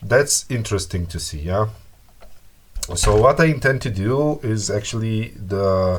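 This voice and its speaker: A man with a non-native accent speaks at a fairly slow pace with lively intonation. His voice is fairly low and somewhat breathy. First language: not English. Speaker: repair hobbyist youtuber. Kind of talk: tutorial. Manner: halting, many fillers.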